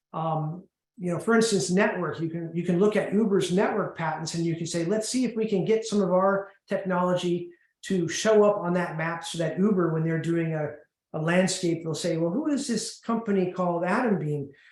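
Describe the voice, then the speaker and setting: Audible room echo surrounds a man whose high pitch carries ordinary variation. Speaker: patent attorney. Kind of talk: webinar presentation. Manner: fast, intense; halting, many repetitions.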